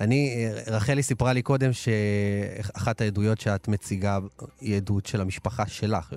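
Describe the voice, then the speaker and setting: An ordinary speaking voice, a man's, fairly low in pitch. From Israel, Ashdod. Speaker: radio host. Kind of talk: radio talk show. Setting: radio studio, also broadcast live on TV.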